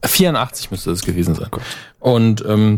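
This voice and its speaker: On a very clean recording with a silent background, a man with an unremarkable speaking voice talks at a moderate pace with lively intonation. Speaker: podcast host. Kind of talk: casual banter podcast.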